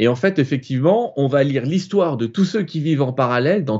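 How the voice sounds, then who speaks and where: Racing along at a very fast pace, a man speaks in a fairly high voice with very wide pitch swings. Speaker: author and spiritual channeler. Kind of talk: live interview, explaining. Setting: live online broadcast.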